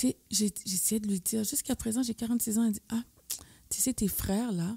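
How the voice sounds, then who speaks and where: A woman's fairly high, somewhat breathy voice with a dark, mellow tone, fairly even intonation and a fairly quick pace, dry and close with no echo. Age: 40s. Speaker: guest sharing mental health experience. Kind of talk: testimony.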